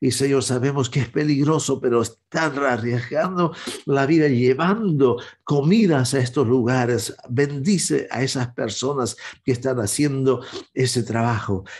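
Against a quiet background, a somewhat breathy man speaks at a fairly slow pace with ordinary pitch variation. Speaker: evangelist and prayer show host. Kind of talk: fervent intercessory prayer, addressing God directly. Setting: online broadcast. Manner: earnest, pleading, solemn; halting, with frequent filler hesitations. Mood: earnest, pleading prayer. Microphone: webcam.

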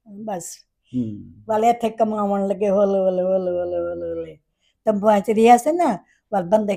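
A woman speaks at a medium pitch with a dark, mellow tone. Her intonation is fairly even. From Pakistan, Multan region. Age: 80s+. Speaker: partition survivor. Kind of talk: interview answer.

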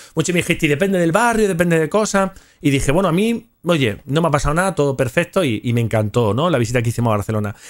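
Over a quiet background, the speaker talks at a very fast pace in an animated tone, with very wide pitch swings and very even loudness. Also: man, fairly high pitch for a man. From Spain. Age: 40s. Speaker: gaming youtuber. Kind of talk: casual storytelling livestream. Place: home room. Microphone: studio mic.

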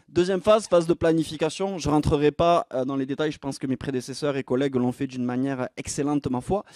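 A man with a southwestern French accent and a fairly high pitch, talking at a very fast pace with ordinary pitch variation, in a dry sound with no echo and a quiet background. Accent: sing-song southwestern French. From southwest France. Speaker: entrepreneur and conference speaker; presenter. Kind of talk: conference masterclass talk; conference talk. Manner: lively, with frequent filler 'euh'. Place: stage. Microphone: handheld.

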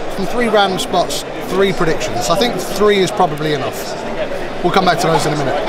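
Crowd noise fills the background as a man speaks very fast. His pitch varies in an ordinary way. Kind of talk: trick demonstration patter. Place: hall. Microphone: camera far.

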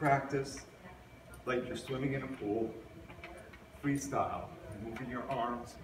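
A man talks at a moderate pace while noticeable background noise continues. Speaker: physical education teacher. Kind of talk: tutorial. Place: hall. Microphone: camera far.

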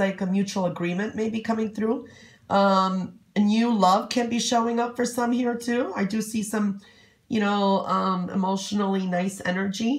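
Speaking at a moderate pace, a woman with a fairly high, somewhat breathy voice keeps her intonation fairly even. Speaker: psychic reader. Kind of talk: fortune-telling reading to camera. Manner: rambling, many fillers; warm, chatty.

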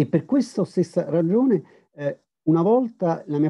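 A man talks with very wide pitch swings. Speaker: historian. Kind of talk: academic lecture. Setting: video call. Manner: hesitant, many fillers.

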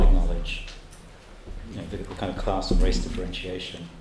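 A man at a moderate pace amid loud background noise and audible room echo. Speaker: event host. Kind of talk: Q&A moderation. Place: classroom. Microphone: handheld.

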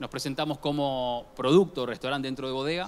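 The speaker is a man. He keeps his intonation fairly even. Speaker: conference presenter. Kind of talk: conference talk. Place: hall. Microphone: handheld.

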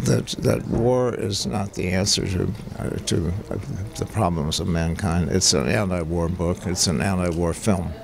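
A man speaks at a fairly slow pace in a very deep, low pitch with ordinary pitch variation. The sound is dry with no echo, and there is noticeable background noise. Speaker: photojournalist and author. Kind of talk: casual interview. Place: hall.

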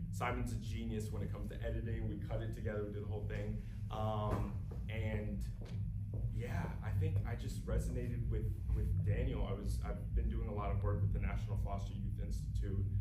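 Loud background noise fills the clip as a man speaks fairly quickly. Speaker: actor answering audience questions. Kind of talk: interview answer. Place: hall. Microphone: camera far.

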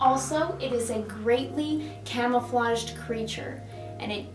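A woman talks at a fairly slow pace, with clear music playing behind her. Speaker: presenter. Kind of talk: mock painting-show tutorial. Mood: cheerful, gentle. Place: classroom. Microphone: camera far.

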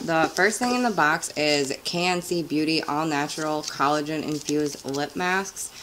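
A woman speaks quietly in a very deep, low pitch with ordinary pitch variation. She keeps a moderate pace with hardly any pauses, over noticeable background noise. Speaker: beauty vlogger. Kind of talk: casual talk to camera. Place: home room.

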